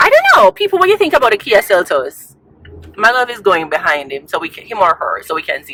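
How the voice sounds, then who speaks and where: A woman with a Jamaican accent talks at a fairly quick pace in an animated tone. The sound is dry and close with no echo, with noticeable background noise. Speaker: vlogger. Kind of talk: casual vlog talk. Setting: in a car.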